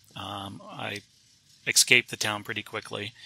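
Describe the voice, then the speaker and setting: A man with an American accent talks in a bright, sharp tone marked by vocal fry. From US South. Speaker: author and photojournalist. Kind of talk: interview. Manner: halting, many fillers.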